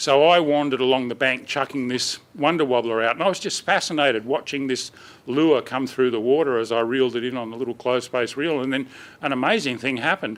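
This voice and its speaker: Speaking very fast, the man has an Australian accent. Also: medium pitch for a man, ordinary pitch variation. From Australia, New South Wales. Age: 60s. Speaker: fishing presenter. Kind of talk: public talk to audience. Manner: casual, anecdotal.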